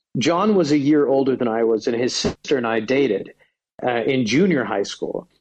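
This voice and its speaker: Speaking with an American accent, a man has an ordinary speaking voice at a medium pitch, a fairly quick pace and ordinary pitch variation. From United States. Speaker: stand-up comedian. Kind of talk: casual chat.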